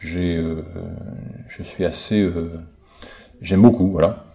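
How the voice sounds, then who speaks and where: Delivered at a very slow pace with long, frequent pauses, the speech has fairly even intonation over noticeable background noise. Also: man. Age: 50s. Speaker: listener contributor sharing a personal testimony. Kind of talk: recorded monologue testimony. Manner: halting, many hesitations.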